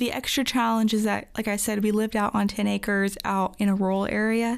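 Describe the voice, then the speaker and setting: A woman with an American accent has a plain, everyday voice of medium pitch and talks at a moderate pace. The recording is very clean, with a silent background. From Virginia, near Washington DC. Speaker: young adult church member. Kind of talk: casual interview.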